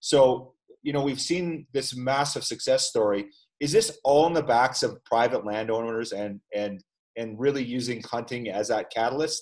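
With an ordinary speaking voice, a man talks at medium pitch and a moderate pace, his pitch varying in an ordinary way. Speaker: podcast host. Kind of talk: casual interview. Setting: video call.

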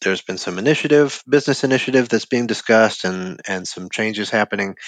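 A man in a plain, everyday voice, at a fairly quick pace with ordinary pitch variation, over a quiet background. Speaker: front-end developer. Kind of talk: casual chat. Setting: video call.

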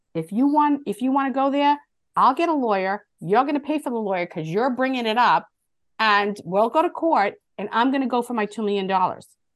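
With an unremarkable speaking voice, a woman talks at a fairly quick pace in an American accent, her fairly high pitch moving in lively intonation against a quiet background. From Boston area, US. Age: 50s. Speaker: motivational speaker and author. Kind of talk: interview, casual chat.

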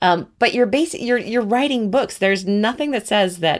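A woman speaks with very wide swings in pitch. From New Zealand. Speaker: author and writing teacher. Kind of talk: interview conversation.

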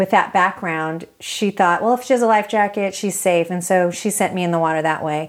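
With an American accent and an unremarkable speaking voice, a woman speaks at a fairly quick pace, her medium pitch showing ordinary pitch variation. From US West Coast, East Salinas, California. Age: 40s. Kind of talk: interview. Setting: at home.

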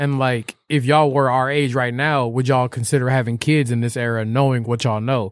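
In a very clean recording with a silent background, a man at a medium pitch talks at a fairly quick pace with hardly any pauses. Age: 20s. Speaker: podcast host. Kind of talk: casual chat. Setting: studio. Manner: animated.

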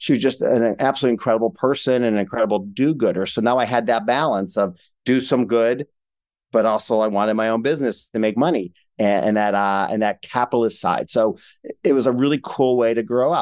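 Against a quiet background, a man with an American accent speaks at a fairly quick pace in an unremarkable speaking voice, medium in pitch with ordinary pitch variation. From Ohio, Cleveland. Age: 50s. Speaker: entrepreneur. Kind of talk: interview.

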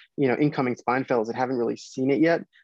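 Against a quiet background, a man with an American accent speaks at a medium pitch with fairly even intonation, the sound dry and close with no echo. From US Midwest, Chicago area. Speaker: spine surgery fellow. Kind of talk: interview.

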